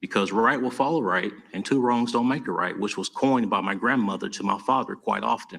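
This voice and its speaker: Here a man talks with an Alabama accent at a medium pitch. His tone is bright and sharp, and his pace fairly quick. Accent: Southern US (Alabama). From US South, Tuscaloosa, Alabama. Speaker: mayoral candidate. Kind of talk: campaign speech at candidate forum.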